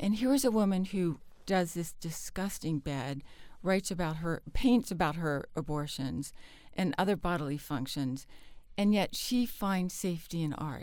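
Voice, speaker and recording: A woman's unremarkable speaking voice with an American accent, fairly low in pitch, at a moderate pace with lively intonation. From US South, Charleston, South Carolina. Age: 50s. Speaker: novelist and literary editor. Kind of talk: interview conversation. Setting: studio.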